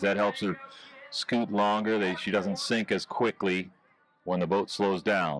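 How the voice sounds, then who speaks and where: With an unremarkable speaking voice, a man talks at a moderate pace in a fairly low pitch with fairly even intonation. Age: 60s. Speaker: ski show announcer. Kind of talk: live commentary.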